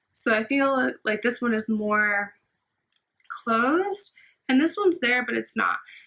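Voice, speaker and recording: With long, frequent pauses, a woman speaks in a high pitch with very wide pitch swings and a bright, sharp tone. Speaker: vlogger sharing health recovery. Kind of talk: personal vlog update. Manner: slow, careful pronunciation; casual, filler-heavy.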